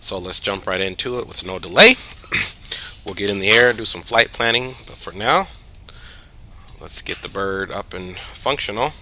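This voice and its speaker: Over noticeable background noise, a man mumbles at a moderate pace in a fairly low pitch, with ordinary pitch variation, big swings in loudness, and long, frequent pauses. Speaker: flight simulator streamer. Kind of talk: casual gameplay commentary. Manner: mumbling.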